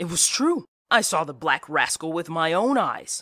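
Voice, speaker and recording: A growling, put-on character voice sits at a middle pitch and a moderate pace. The recording is very clean, with a silent background. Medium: read story.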